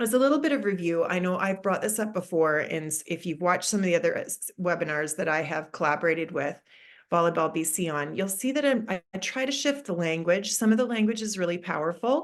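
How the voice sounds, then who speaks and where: A woman speaks at a very fast pace with lively intonation and hardly any pauses. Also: medium pitch for a woman. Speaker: mental skills consultant. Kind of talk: webinar presentation. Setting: online webinar.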